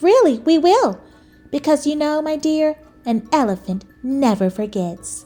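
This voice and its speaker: Over faint music in the background, a woman puts on a high-pitched character voice at a moderate pace. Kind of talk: bedtime story. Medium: read story. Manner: warm, hearty.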